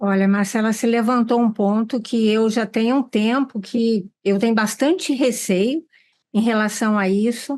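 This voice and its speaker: Over a quiet background, a woman speaks in a plain, everyday voice at a fairly high pitch. Her pace is fairly slow, with fairly even intonation and very even loudness. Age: 60s. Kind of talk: panel discussion.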